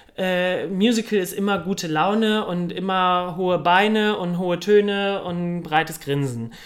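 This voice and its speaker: With ordinary pitch variation, the speech moves along at a fairly slow pace. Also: man, high pitch for a man. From Cologne, Germany. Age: young. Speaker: musical theatre performer. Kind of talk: casual interview. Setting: café.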